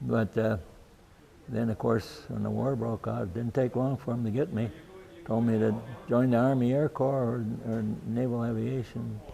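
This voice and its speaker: Speaking with an Upper Midwest accent, a man keeps a medium pitch and moderate pace, with fairly even intonation and long, frequent pauses. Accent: Upper Midwest (Minnesota). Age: 80s+. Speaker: retired pilot, war veteran. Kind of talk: interview. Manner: halting, many fillers and repeats.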